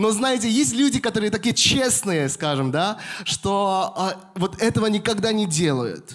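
Against a quiet background, a man with a high voice speaks at a fairly slow pace, his pitch swinging very widely while his loudness stays very even. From Moscow, Russia. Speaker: pastor. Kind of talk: sermon. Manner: halting, with frequent fillers. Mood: warm, smiling, animated. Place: church. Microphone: handheld.

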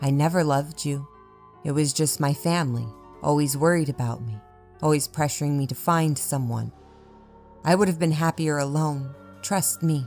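With music in the background, a strained, put-on character voice at low-to-middle pitch moves at a moderate pace with long, frequent pauses. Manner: pleading, then harsh and hurtful.

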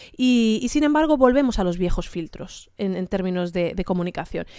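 A woman with a dark, mellow tone speaks at a moderate pace with very wide pitch swings, her voice dry with no echo against a quiet background. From Spain, grew up in Santiago de Compostela and Damascus; Spain. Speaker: panelist journalist. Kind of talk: panel talk. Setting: seminar venue with live audience. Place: meeting room. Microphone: podium.

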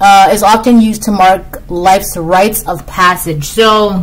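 The speaker talks at a very slow pace. Pitch varies in an ordinary way. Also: woman. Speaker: tarot reader. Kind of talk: tarot reading commentary. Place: home room. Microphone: webcam.

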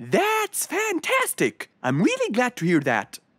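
In a cartoonish character voice, a woman speaks slowly at a fairly high pitch, with very wide pitch swings, a fairly bright tone and a slightly husky edge.

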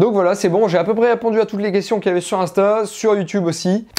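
This voice has a dark, mellow tone and moves at a very fast pace. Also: man. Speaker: shooting sports youtuber. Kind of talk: casual q&a video. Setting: home studio. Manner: hesitant, many fillers. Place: home room. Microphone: lapel.

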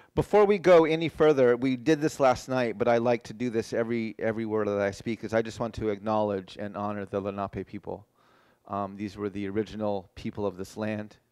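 At a fairly quick pace, a man with a fairly low pitch and ordinary pitch variation talks in a normal speaking voice against a quiet background. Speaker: keynote speaker. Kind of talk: lecture. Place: hall.

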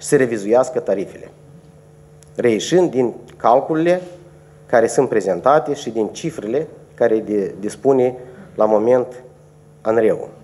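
At a fairly slow pace, the speech carries a dark, mellow tone with lively intonation. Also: man. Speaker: energy regulator official. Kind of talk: press conference. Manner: formal. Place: meeting room. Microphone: podium.

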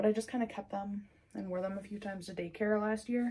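A woman's somewhat breathy, dark and mellow voice at a moderate pace with fairly even intonation. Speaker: vlogger. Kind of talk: casual vlog chat. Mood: relaxed, cheerful. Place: home room. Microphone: phone near.

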